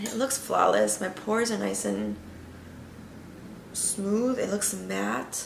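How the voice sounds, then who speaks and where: Long, frequent pauses break up a woman's very slow speech, heard with audible room echo. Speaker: makeup vlogger. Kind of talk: tutorial. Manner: casual, filler-heavy.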